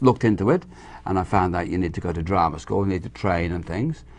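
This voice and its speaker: A man's voice with vocal fry. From Ireland, Dublin, raised in England. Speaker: actor. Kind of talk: interview. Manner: repetitive stammering starts.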